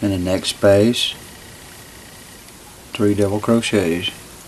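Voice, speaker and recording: Noticeable background noise sits under a man's voice. He speaks fairly low in pitch at a very slow pace. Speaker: crochet instructor. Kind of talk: tutorial instruction. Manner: stammering.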